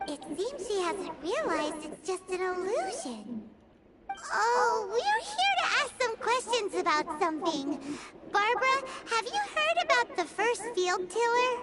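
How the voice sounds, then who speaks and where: In a put-on character voice with an extremely high pitch, the speaker delivers the lines at a fairly slow pace. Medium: video game.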